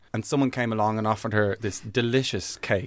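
In a very clean recording with a silent background, a man speaks very fast with an Irish accent. His pitch is fairly low and his intonation fairly even. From Ireland, Dublin. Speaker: comedian. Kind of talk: casual chat.

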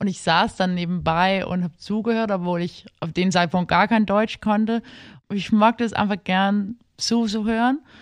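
Over a quiet background, a woman with a Danish accent speaks at a moderate pace with fairly even intonation. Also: medium pitch for a woman. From Denmark, Copenhagen. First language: Danish (speaking German). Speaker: literary translator. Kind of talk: casual interview. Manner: halting.

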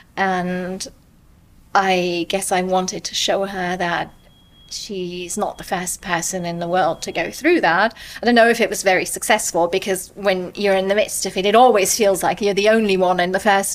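Noticeable background noise accompanies a woman with a medium pitch speaking at a moderate pace in a monotone, flat intonation. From England and Germany. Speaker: immigrant, former ballet student. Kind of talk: personal storytelling interview.

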